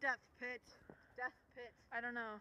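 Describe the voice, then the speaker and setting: Over light background noise, a woman projects a raised voice with a bright, sharp tone, the sound dry with no echo. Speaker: vlogger. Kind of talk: casual vlog chat. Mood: playful, joking. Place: open country. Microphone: phone near.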